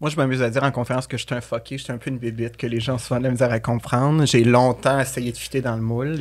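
A man with a Quebec accent talks at a very fast pace. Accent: Québécois French. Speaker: podcast guest, coach, speaker. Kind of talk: casual chat. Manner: animated. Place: studio. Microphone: studio mic.

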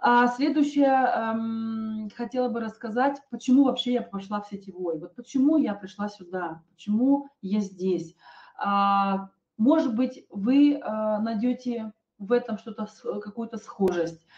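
Speaking very slowly, a woman with a fairly high pitch sounds somewhat breathy and shows ordinary pitch variation. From Kazakhstan, Almaty. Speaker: network marketing presenter; presenter. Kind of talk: sales webinar. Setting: online webinar. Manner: hesitant, many filler sounds. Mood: calm, personal, persuasive. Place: home room. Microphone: webcam.

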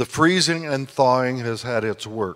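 A man's voice in quiet surroundings. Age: 70s. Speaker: guest preacher and retiring university president. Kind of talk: sermon. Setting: church service. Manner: orator. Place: church. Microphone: handheld.

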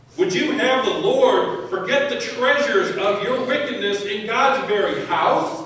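The delivery is fairly slow, with strong room echo around it. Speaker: prophet character in a church skit. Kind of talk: staged courtroom drama performed in church. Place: church.

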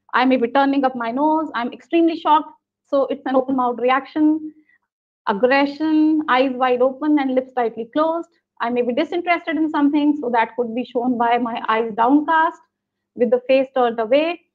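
Over a quiet background, a woman with an Indian accent speaks in a high pitch. Her intonation is fairly even and her pace moderate. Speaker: business school professor. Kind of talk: webinar lecture. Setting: video call. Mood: warm, smiling. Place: home room. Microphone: video call.

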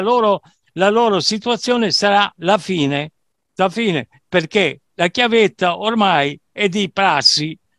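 Speaking very slowly, a man with a high pitch and a bright, sharp tone uses lively intonation, recorded with a dry sound with no echo over a quiet background. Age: 70s. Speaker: dance music producer and DJ; DJ. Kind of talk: casual interview. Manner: halting, repetitive. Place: home room. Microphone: headset.

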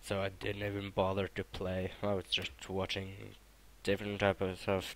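Moderate pace, fairly low pitch, a man's voice. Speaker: gaming clan leader. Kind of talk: casual game commentary.

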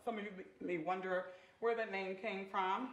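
Fairly quick speech with audible room echo. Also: woman. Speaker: talk show guest, storyteller. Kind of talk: interview answer. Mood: upbeat, a bit giggly. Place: studio.

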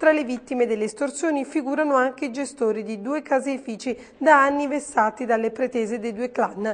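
A woman's high-pitched voice at a fairly quick pace, with fairly even intonation. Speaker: news reporter. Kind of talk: news reading. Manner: formal; steady, brisk, even-paced delivery.

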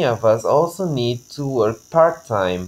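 Speaking at a fairly slow pace with a Bulgarian accent, a man moves through very wide pitch swings. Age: 20s. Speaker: language teacher. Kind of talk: scripted self-introduction video. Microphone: webcam.

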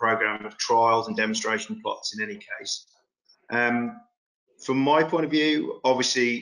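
Against a quiet background, a man speaks at a fairly slow pace with big swings in loudness. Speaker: farm host on a webinar panel. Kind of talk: interview answer. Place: home room. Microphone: video call.

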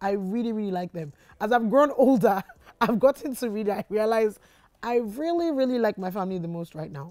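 A woman's dark, mellow voice at a fairly quick pace, with lively intonation and big swings in loudness, over a quiet background. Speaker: YouTuber. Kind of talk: casual Q&A vlog. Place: studio.

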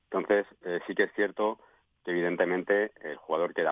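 Against a quiet background, a man talks at a moderate pace in a very deep, low voice, the sound dry with no echo. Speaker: former professional footballer, pundit. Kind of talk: radio sports panel discussion. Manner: halting, repeats words. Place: studio.

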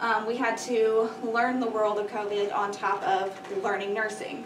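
Noticeable background noise sits under this woman's voice. Her pitch is fairly high and her intonation monotone and flat. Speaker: allergy nurse. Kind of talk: presentation to students. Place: classroom. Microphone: camera far.

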